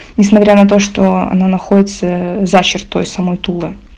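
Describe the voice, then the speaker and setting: Her intonation stays fairly even as this woman speaks. There is noticeable background noise. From Moscow. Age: young. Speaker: contributor sharing a story. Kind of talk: recorded voice message story.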